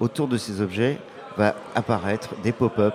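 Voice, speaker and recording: Noticeable background noise runs under a man talking at a fairly slow pace. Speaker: startup founder. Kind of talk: interview. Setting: live event with audience. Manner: energetic.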